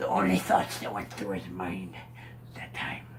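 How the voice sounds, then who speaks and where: A man puts on a raspy character voice with a fairly low pitch. He keeps a moderate pace, and clear background noise runs underneath. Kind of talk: pirate tall tale. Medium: solo performance. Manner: rambling, casual.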